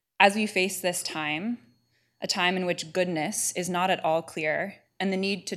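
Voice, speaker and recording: On a very clean recording with a silent background, a woman speaks in an American accent. Her fairly low voice stays monotone and flat. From California. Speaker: divinity student presenting a paper. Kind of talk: paper presentation.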